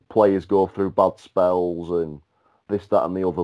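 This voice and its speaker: A man with a dark, mellow tone speaks at a moderate pace in a very clean recording with a silent background. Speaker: football pundit. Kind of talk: casual chat.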